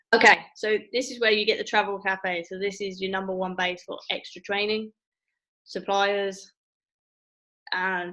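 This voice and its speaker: A woman speaks with an English accent in a bright, sharp tone. Her intonation is monotone and flat. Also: quiet background. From England. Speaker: travel agent trainer. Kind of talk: training session via screen share. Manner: casual, halting.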